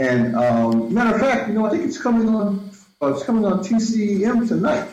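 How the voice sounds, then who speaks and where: A man talks at a moderate pace with very wide pitch swings. Room echo is audible. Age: 60s. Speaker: filmmaker and Afrofuturism researcher. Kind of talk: interview. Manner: halting, with many repetitions.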